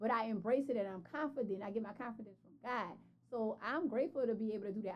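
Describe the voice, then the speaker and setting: A woman with a New Orleans accent talks at a very fast pace in an animated tone. Her pitch variation is ordinary. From New Orleans, Louisiana. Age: 40s. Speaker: entrepreneur and fashion brand founder. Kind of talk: podcast interview.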